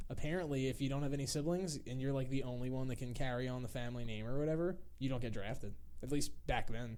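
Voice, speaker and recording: A man talks at a very fast pace with hardly any pauses and fairly even intonation. His tone is dark and mellow, with audible room echo. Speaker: comedy podcast co-host. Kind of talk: casual chat.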